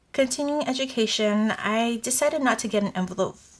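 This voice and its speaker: A woman talks at a fairly slow pace with ordinary pitch variation. Light background noise can be heard. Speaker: budgeting vlogger. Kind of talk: casual vlog chat. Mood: relaxed, friendly. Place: home room.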